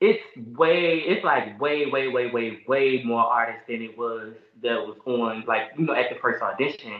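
At a fairly slow pace, a plain, everyday voice with an American accent moves through lively intonation. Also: man. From US South, Richmond, Virginia. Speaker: rapper. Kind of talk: casual chat.

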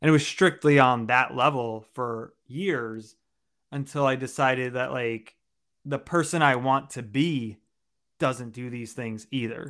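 An unremarkable speaking voice from a man at medium pitch, fairly slow in pace, with fairly even intonation, big swings in loudness, and a very clean recording over a silent background. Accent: American. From New York, Long Island. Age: 30s. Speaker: personal development coach. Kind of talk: interview testimony.

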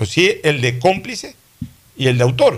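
Somewhat breathy male speech at a fairly quick pace. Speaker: radio host. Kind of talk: radio talk show, political discussion.

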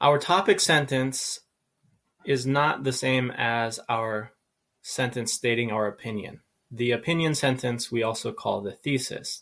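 On a very clean recording with a silent background, a man with an American accent has an unremarkable speaking voice, a medium pitch, ordinary pitch variation and a fairly slow pace. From USA. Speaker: English teacher. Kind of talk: lecture. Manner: measured, clear delivery.

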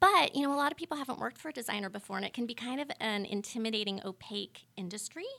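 Over noticeable background noise, a woman with an American accent and a fairly high pitch races at a very fast pace with lively intonation and hardly any pauses. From Northern California, Sonoma County. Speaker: interior designer. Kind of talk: casual chat.

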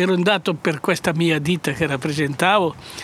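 A man with a high pitch. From Piedmont, Italy (Varallo, Valsesia). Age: 80s+. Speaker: former partisan courier, winemaker. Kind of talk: testimony. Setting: outdoors in a vineyard. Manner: halting.

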